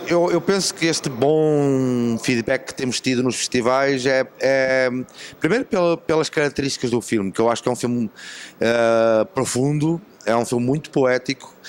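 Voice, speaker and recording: The voice has a European Portuguese accent and ordinary pitch variation. The pace is moderate. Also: man, medium pitch for a man. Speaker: film director. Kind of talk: interview. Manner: halting.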